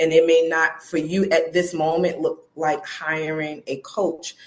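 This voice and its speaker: With an American accent, a woman with a plain, everyday voice speaks at a moderate pace and a fairly low pitch. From US Northeast, Brooklyn. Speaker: personal development coach. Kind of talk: interview.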